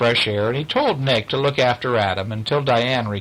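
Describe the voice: This is plain reading aloud. The pitch shows ordinary variation.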